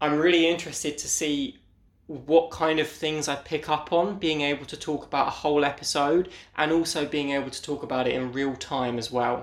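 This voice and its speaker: A man with a British accent at a moderate pace, fairly even intonation, in a very clean recording with a silent background. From Britain. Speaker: podcast host. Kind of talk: solo episode commentary.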